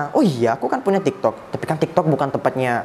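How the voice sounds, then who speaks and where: Noticeable background noise fills the recording. The speaking goes by very fast. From Madura (Bangkalan), Indonesia. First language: Madurese (speaking Indonesian). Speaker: TikTok Islamic preacher. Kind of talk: casual interview chat.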